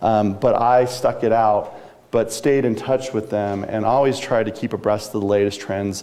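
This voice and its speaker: Over noticeable background noise, a man talks in a fairly low pitch with fairly even intonation. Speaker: news industry business executive and speaker. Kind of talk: talk to a live audience. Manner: fast.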